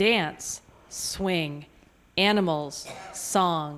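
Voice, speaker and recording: This woman's pitch shows ordinary variation. Her delivery is very slow. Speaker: audience volunteer. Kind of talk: reading aloud. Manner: loud.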